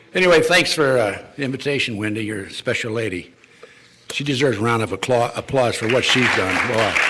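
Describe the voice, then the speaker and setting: Crowd noise fills the background and the room echo is audible. A man speaks fairly quickly at a medium pitch with ordinary pitch variation. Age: 80s+. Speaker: retired FBI official and conspiracy lecturer. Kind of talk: public lecture. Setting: stage with live audience. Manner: hesitant, many fillers and restarts.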